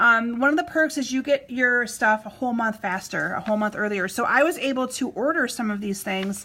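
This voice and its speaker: A woman talks at a high pitch and a fairly quick pace, with ordinary pitch variation and hardly any pauses. Noticeable background noise is present. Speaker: craft demonstrator. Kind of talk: live-stream craft tutorial. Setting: Facebook live stream. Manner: fast.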